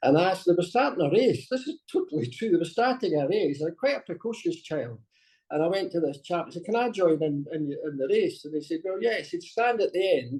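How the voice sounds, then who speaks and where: In a Scottish accent, a man talks fairly quickly with a high pitch and lively intonation. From Scotland. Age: 60s. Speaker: masters track athlete. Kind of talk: interview.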